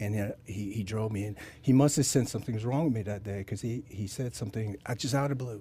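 Somewhat breathy and dark, mellow in tone, a man with an American accent talks at a very fast pace with ordinary pitch variation. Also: fairly low pitch for a man. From US South. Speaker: special operations military veteran. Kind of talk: podcast interview. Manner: calm; gentle.

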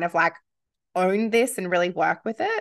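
A woman with an Australian accent speaks at a medium pitch. Her pace is fairly quick, and the background is quiet. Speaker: podcast host. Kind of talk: casual interview chat.

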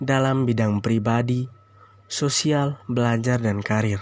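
A man's unremarkable speaking voice at a medium pitch with fairly even intonation. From Indonesia, Ende, Flores (East Nusa Tenggara). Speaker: university student. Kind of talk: class presentation. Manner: formal.

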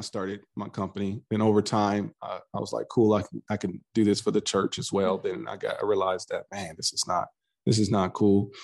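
A man at a moderate pace, with a dry, close sound, no echo, and a quiet background. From US West Coast, Los Angeles. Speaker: cult survivor and podcaster. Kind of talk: interview testimony.

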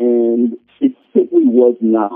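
An ordinary speaking voice from a man at medium pitch, with fairly even intonation. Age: 50s. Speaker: literature professor. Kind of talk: interview.

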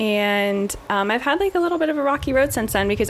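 Noticeable background noise behind a female voice. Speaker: podcast guest. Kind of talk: casual chat.

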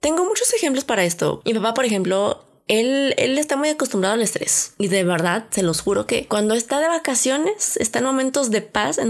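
In a Mexican accent, a woman speaks in an animated tone at a fairly high pitch. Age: 20s. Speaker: podcast host. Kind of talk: casual monologue.

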